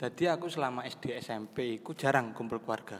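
There is noticeable background noise behind a man speaking at a moderate pace. His medium pitch shows ordinary variation. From Banyuwangi, East Java, Indonesia. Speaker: university student. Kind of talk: casual chat.

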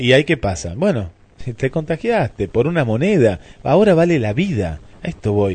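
An animated man with an Argentine accent speaks at a medium pitch with vocal fry. His pace is moderate and his pitch swings very wide. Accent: Rioplatense Argentine Spanish. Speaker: radio host. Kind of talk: morning radio show.

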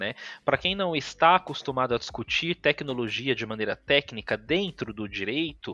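A man's fairly high, bright, sharp voice with lively intonation at a moderate pace, against a quiet background. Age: 30s. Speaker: video game researcher. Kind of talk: casual chat.

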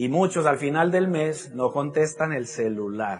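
A man with a fairly high pitch. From Colombia. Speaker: motivational speaker. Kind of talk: motivational talk.

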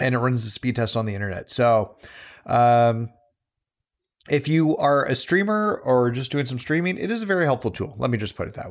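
The voice is an unremarkable speaking voice, a man's at medium pitch with lively intonation. He moves at a fairly quick pace on a very clean recording with a silent background. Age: 40s. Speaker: gaming podcast host. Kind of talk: casual chat.

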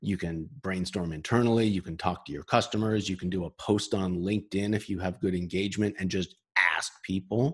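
Moving at a moderate pace, an unremarkable speaking voice in an American accent shows ordinary pitch variation. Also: man. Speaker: sales consultant and author. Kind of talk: interview. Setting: video call.

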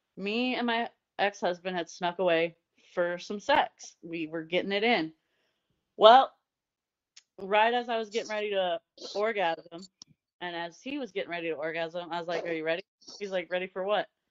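A woman with an American accent, medium pitch, ordinary pitch variation, a moderate pace and long, frequent pauses. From Indiana. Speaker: podcast co-host. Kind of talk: casual banter, explicit comedy chat. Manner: animated, sassy.

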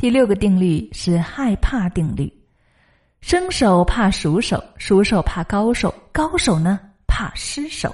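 Against a quiet background, a somewhat breathy woman speaks very slowly at medium pitch with lively intonation. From China, Hunan. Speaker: podcast host and broadcasting coach. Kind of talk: scripted narration.

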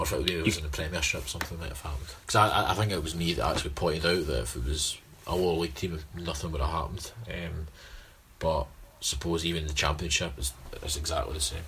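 A man with a Scottish accent at a very fast pace, very deep and low in pitch with fairly even intonation, over noticeable background noise. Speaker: football podcast co-host. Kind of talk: casual chat.

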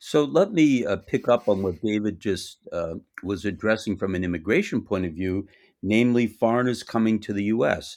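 In an American accent, a man with an ordinary speaking voice and a fairly low pitch talks at a moderate pace with ordinary pitch variation, captured on a very clean recording with a silent background. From US, Boston. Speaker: tax lawyer. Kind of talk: interview.

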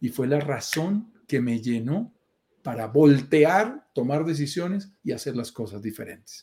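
A man speaks at a fairly slow pace with a fairly high pitch and a dark, mellow tone. His voice is somewhat breathy, and his intonation is lively. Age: 50s. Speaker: real estate investment show host. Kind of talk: casual chat.

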